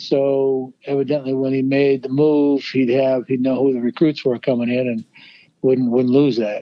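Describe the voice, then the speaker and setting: A man with a normal speaking voice, fairly high pitch and a fairly quick pace. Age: 60s. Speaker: former college baseball coach. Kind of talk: interview answer.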